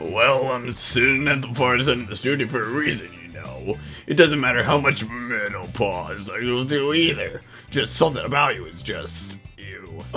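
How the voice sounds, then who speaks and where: A man's put-on character voice at a medium pitch and moderate pace, with lively intonation, big swings in loudness and clear music in the background. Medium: comedy sketch. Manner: blunt, deadpan.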